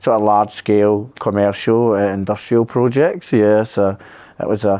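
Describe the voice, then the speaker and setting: A man speaks in a Scottish accent at a moderate pace. His pitch is medium. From Scotland, Kilsyth near Glasgow. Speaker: electrician, accident survivor. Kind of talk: interview. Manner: casual, hesitant with many fillers.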